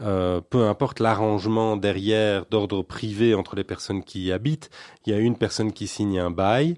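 A man's unremarkable speaking voice, fairly low in pitch, at a moderate pace with fairly even intonation over a quiet background. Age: 40s. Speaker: local politician. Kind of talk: radio interview.

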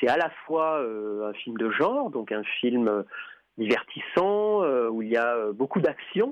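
A man talks at a very slow pace in a medium pitch. His intonation is lively. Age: 50s. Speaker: film historian and festival programmer. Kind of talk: interview. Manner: halting, many repetitions and fillers.

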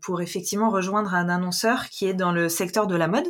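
Fairly even intonation from a woman, in a very clean recording with a silent background. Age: 30s. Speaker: freelance social media manager. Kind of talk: interview. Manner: hesitant, many fillers.

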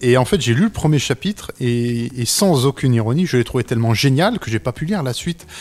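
A man with an ordinary speaking voice and a medium pitch talks at a fairly quick pace. His intonation is lively, and he takes hardly any pauses. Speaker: comic book author. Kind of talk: casual chat. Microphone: too far from mic at first.

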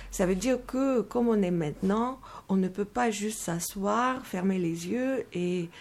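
This is a plain, everyday voice from a woman at medium pitch. She speaks at a fairly slow pace with ordinary pitch variation. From Moldova. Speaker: meditation teacher. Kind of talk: radio interview.

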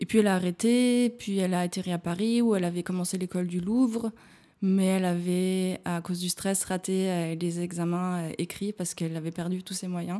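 A woman's medium-pitched voice at a moderate pace, with fairly even intonation, on a very clean recording with a silent background. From France, small village in the Ain. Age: 20s. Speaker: physiotherapist. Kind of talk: casual interview. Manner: halting, many fillers and repetitions.

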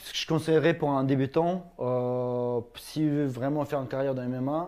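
At a moderate pace, a man with a medium pitch and a dark, mellow tone speaks with fairly even intonation. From Ingushetia, Russia. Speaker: YouTuber and MMA fighter. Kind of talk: casual talk show interview.

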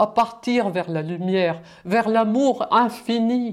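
This woman's voice sits at a medium pitch with lively intonation. The recording is very clean, and the background is silent. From Germany. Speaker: musician. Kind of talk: reading aloud.

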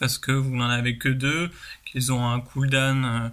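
A man speaks at a medium pitch and a fairly slow pace. His intonation stays flat and monotone. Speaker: podcast segment presenter. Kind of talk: pre-recorded segment. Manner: hesitant with many ums.

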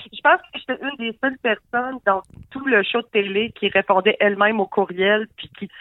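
This woman has an ordinary speaking voice, fairly high in pitch. She talks at a moderate pace with ordinary pitch variation. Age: 40s. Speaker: comedian. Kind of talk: casual chat.

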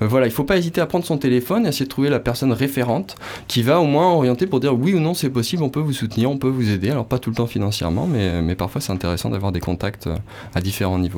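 A man speaks at a very fast pace at a medium pitch. His voice makes very wide pitch swings. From western France, Nantes. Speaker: nonprofit project manager. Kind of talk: radio interview.

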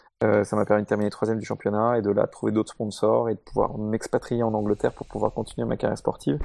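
A man rushes along at a very fast pace with hardly any pauses, the sound dry and close with no echo. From Paris, France. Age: 30s. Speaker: racing driver and driver coach. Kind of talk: casual panel discussion.

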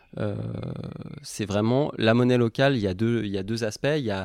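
A man speaks at a medium pitch and moderate pace in a dark, mellow tone with ordinary pitch variation. The recording is very clean and silent in the background, with a dry, close sound and no echo. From Normandy, France. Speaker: local currency coordinator. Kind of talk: casual interview. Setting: at home in an apartment. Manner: hesitant, many fillers.

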